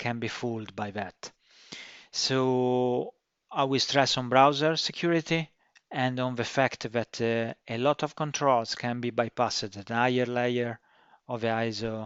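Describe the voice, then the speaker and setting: Speaking fairly slowly with a strong non-native accent, a man uses a medium pitch and fairly even intonation. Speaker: cybersecurity consultant and course instructor. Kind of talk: course introduction. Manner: slow and deliberate; halting, many fillers.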